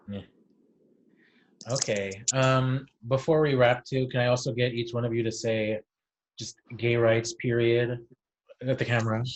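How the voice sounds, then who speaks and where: Speaking in a Californian accent, a man with a medium-pitched, somewhat breathy voice stays monotone and flat, with long, frequent pauses. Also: moderate pace. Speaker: entertainment interviewer. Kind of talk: casual interview. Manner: casual, filler-heavy.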